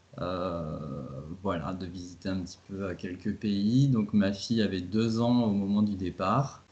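A man is speaking. His pace is fairly slow, with ordinary pitch variation. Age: 30s. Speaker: travel blogger and father. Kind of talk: interview. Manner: halting.

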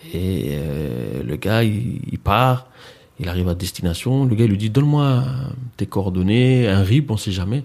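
A man with an ordinary speaking voice talks at a fairly low pitch, his intonation lively. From France, Mantes-la-Jolie (Paris suburbs). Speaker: entrepreneur and event organiser. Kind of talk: casual interview.

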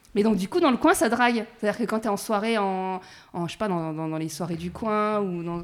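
A woman speaks at a fairly quick pace with lively intonation. Hers is a normal speaking voice, medium in pitch. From rural France, small village. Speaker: podcast host. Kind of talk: casual interview. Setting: at the guest's home.

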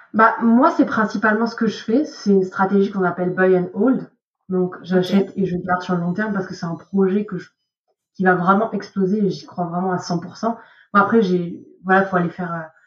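This woman's voice sits at a medium pitch and sounds somewhat breathy. She keeps a moderate pace and fairly even intonation. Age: 20s. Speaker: investment professional at a brokerage. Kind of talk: podcast interview.

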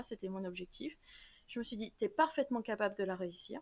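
Against a very clean recording with a silent background, a woman with a plain, everyday voice talks at a fairly quick pace, her fairly high pitch carrying lively intonation. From Normandy, France, then Saint-Martin (Caribbean). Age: 20s. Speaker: law student and YouTuber. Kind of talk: casual interview.

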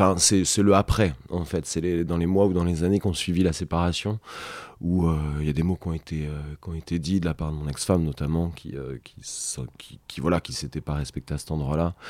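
A man with a very deep, low pitch talks at a fairly quick pace with fairly even intonation and big swings in loudness. The recording is very clean, with a silent background. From Brittany, Rennes. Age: 30s. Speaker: podcast guest, father of three. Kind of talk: intimate interview conversation. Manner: halting, frequent repetitions.

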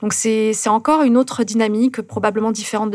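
A woman's fairly high, monotone, flat voice at a fairly quick pace, with noticeable background noise. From southern France, Carcassonne and Toulouse area. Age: 30s. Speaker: ultra-distance runner and polar adventurer. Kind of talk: interview. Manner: calm.

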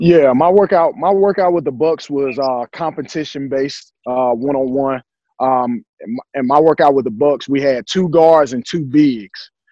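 A man's fairly high voice with a Southern US accent, at a moderate pace with hardly any pauses and ordinary pitch variation. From US South, Durham, North Carolina. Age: 30s. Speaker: basketball coach, former pro player. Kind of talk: interview.

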